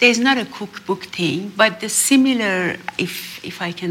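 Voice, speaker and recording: A woman talks at a fairly slow pace. Noticeable background noise and audible room echo fill the recording. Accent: Iranian. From Iran. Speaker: mental health clinician. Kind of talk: panel discussion. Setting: stage with live audience.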